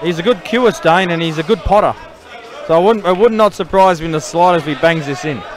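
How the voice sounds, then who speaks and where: Over crowd noise in the background, a man with an Australian accent talks at a very fast pace in a high voice with ordinary pitch variation. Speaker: pool commentator. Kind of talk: live commentary. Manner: loud.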